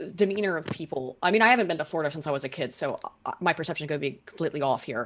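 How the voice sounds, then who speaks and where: With an American accent, a woman talks in a very clean recording where the background is silent. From Baltimore, Maryland (teen years; earlier West Virginia). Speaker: political commentator. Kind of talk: casual chat. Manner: fast.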